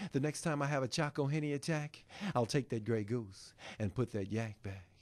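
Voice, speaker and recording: In a quiet setting, a man with a fairly high voice speaks fairly quickly with ordinary pitch variation, in an unremarkable speaking voice. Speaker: spoken word poet and author. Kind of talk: spoken word poetry performance. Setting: live performance at a publishing event.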